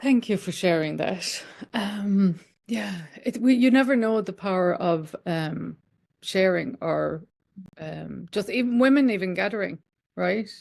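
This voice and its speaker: A woman with an Irish accent talks at a medium pitch. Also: ordinary pitch variation, fairly slow pace. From Ireland, County Limerick. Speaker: podcast host. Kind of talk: interview.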